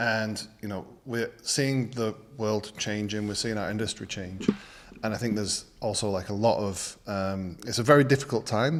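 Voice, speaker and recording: Speaking in a British accent, a man with a fairly low pitch keeps a moderate pace and ordinary pitch variation. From Britain. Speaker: design channel host. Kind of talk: casual chat.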